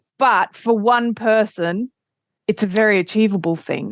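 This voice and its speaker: The speech comes in an Australian accent at a moderate pace, with ordinary pitch variation. The sound is dry and close, with no echo. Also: woman. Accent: thick Australian. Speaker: quilting podcast host. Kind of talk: casual chat.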